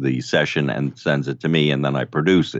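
A man speaks with a New York accent. His pitch is very deep and low. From New York City (Brooklyn). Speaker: audio producer. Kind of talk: casual chat.

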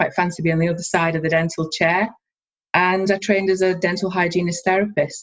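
In a Scottish accent, a woman talks at a fairly quick pace with a fairly low pitch and monotone, flat intonation. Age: 30s. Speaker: dental student and dental therapist. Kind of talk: interview.

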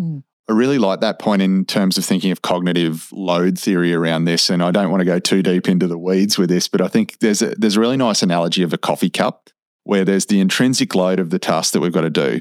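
A man with an Australian accent speaks at a very fast pace in a very deep, low pitch, with ordinary pitch variation and very even loudness. The sound is dry and close, with no echo. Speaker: podcast co-host, health professional. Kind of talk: podcast interview.

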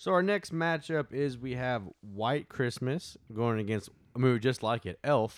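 Using an ordinary speaking voice, a man talks at a fairly slow pace in a medium pitch with lively intonation. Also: very clean recording, silent background. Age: 20s. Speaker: podcast host. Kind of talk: casual chat.

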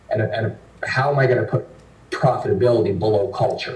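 Amid audible room echo, a man talks at a fairly quick pace in a medium pitch. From northwestern Canada. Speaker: investment firm founder and CEO. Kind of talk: interview.

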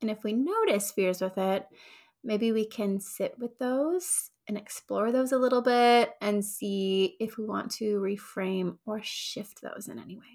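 This unremarkable speaking voice moves at a fairly slow pace with ordinary pitch variation and big swings in loudness. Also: woman, fairly high pitch for a woman. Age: 30s. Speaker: therapist and podcast host. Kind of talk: solo educational monologue. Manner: casual, with many filler words.

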